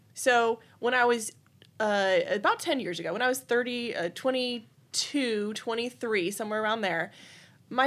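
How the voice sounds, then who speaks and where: In an American accent, a woman speaks at a moderate pace in a plain, everyday voice, fairly high in pitch with ordinary pitch variation. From Texas, Austin area. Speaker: gun rights activist. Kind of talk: interview.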